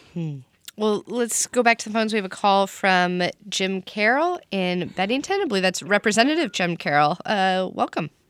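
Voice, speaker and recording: In a normal speaking voice with lively intonation, the speaker goes at a moderate pace, the sound dry and close with no echo. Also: woman, medium pitch for a woman. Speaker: public radio talk show host. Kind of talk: radio call-in discussion. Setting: radio studio.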